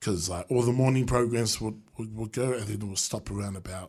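A man with a New Zealand accent, medium pitch and ordinary pitch variation, somewhat breathy, at a very fast pace over a quiet background. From New Zealand, Wellington. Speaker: beatboxer and street musician. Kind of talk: radio interview. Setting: radio studio. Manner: halting.

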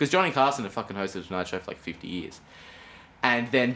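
This man has an Australian accent and ordinary pitch variation. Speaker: podcast co-host. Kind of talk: casual chat. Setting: home room with window open. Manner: animated.

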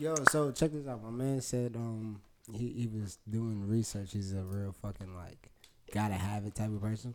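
A man talks in a plain, everyday voice at a fairly low pitch. His pace is moderate, and his pitch variation is ordinary. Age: 20s. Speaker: podcast host. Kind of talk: casual chat.

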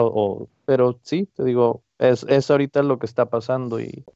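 A man talks with fairly even intonation. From Mexico-US border, Ciudad Juárez and El Paso. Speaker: printmaker and art student. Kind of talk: interview. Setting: at home. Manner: halting, many fillers.

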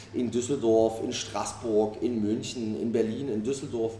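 Noticeable background noise and audible room echo around a man with fairly even intonation. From Saxony, Germany (Dresden). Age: 30s. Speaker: chef and restaurant owner. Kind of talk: interview. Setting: restaurant.

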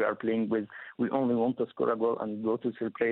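This man speaks at a moderate pace and a medium pitch, with an Arabic accent. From Egypt. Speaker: sports journalist. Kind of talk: interview. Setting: phone call. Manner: halting.

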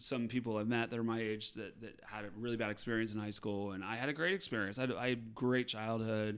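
The speech comes in an American accent with monotone, flat intonation. The recording is very clean, with a silent background. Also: man. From Appalachian Ohio. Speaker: touring musical theater actor. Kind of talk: casual interview chat.

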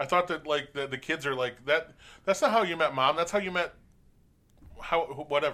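A loud man with a bright, sharp tone and fairly high pitch talks at a fairly quick pace, with ordinary pitch variation and long, frequent pauses. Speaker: podcast co-host. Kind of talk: casual chat.

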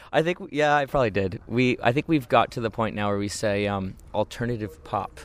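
A man in a plain, everyday voice talks at a fairly quick pace with hardly any pauses and ordinary pitch variation. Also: medium pitch for a man. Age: 30s. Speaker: musician, band singer and keyboardist. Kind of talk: casual interview. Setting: outdoors in a garden.

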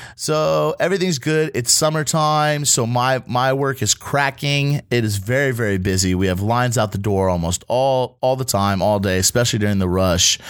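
At a moderate pace and with hardly any pauses, a man talks at a medium pitch. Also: lively intonation, very even loudness. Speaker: podcast host and line cook. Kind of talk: casual chat; cooking instructions. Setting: studio. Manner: loud.

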